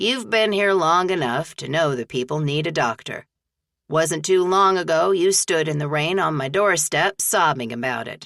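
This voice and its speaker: Using a put-on character voice, a woman speaks at a moderate pace. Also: fairly low pitch for a woman. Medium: read story. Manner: folksy, hearty.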